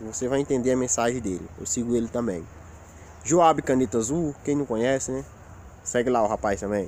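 Against light background noise in a dry sound with no echo, a man at medium pitch and ordinary pitch variation talks at a fairly quick pace, broken by long, frequent pauses. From Rio Grande do Norte, northeastern Brazil. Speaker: YouTuber. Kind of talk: casual vlog monologue. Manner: informal, colloquial. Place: forest. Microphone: phone near.

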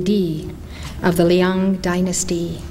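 Light background noise beneath a woman speaking. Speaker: spiritual teacher. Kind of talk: lecture reading a story. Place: hall. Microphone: podium.

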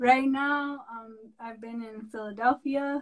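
Against a quiet background, a woman with a high pitch speaks at a fairly slow pace with fairly even intonation. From Santa Clara Pueblo, New Mexico; New Mexico. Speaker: artist; guest. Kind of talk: casual interview. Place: home room. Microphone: video call.

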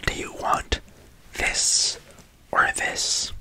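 Whispering, a man speaks. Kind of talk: ASMR eye-exam roleplay. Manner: soft, close ASMR-style murmur.

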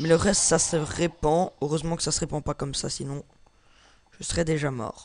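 A man is speaking. His pace is moderate. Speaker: gaming YouTuber. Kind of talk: gameplay commentary. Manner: halting.

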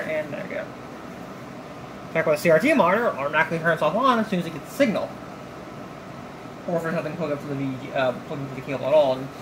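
The speech comes at a very fast pace and is mumbled. Noticeable background noise sits behind it. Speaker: tech hobbyist. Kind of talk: casual tech tutorial talk to camera. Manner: rambling, mumbling. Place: home room.

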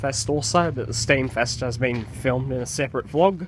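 A man with an Australian accent at a moderate pace, dry sound with no echo, light background noise. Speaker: trainspotting video blogger. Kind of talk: casual vlog commentary. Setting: outdoors by railway tracks. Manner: halting, with fillers. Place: station. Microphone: phone near.

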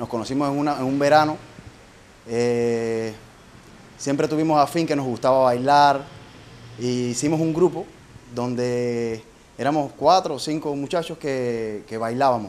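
A man's medium-pitched voice at a fairly slow pace, with ordinary pitch variation and long, frequent pauses. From eastern Cuba. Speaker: childhood friend and former dancer. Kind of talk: testimony. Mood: warm, nostalgic, proud. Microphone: handheld.

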